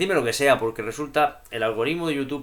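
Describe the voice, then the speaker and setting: This man talks at a very fast pace. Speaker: YouTuber discussing poetry and philosophy. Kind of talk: vlog monologue. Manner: animated.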